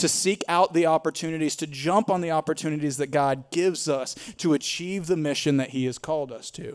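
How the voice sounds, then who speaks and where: A man with a Tennessee accent and fairly high pitch talks at a fairly quick pace with hardly any pauses and ordinary pitch variation. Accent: Southern US (Tennessee). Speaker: pastor. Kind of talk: sermon. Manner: animated.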